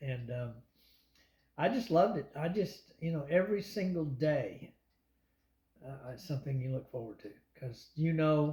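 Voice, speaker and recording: Lively in intonation and big in loudness swings, a man speaks in a fairly high, somewhat breathy voice. His tone is dark and mellow, with long, frequent pauses. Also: moderate pace. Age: 60s. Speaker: long-distance cyclist. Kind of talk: interview answer.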